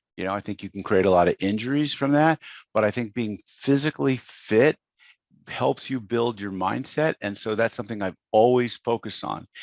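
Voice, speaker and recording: An ordinary speaking voice from a man, at a moderate pace with ordinary pitch variation, recorded dry and close with no echo against a quiet background. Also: medium pitch for a man. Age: 60s. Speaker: business coach. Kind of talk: podcast interview. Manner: conversational, many fillers.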